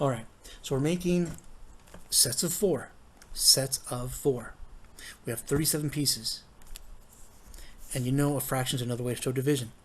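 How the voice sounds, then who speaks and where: This man's voice is fairly high in pitch and somewhat breathy. He uses ordinary pitch variation and takes long, frequent pauses. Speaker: math teacher. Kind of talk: tutorial. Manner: fast.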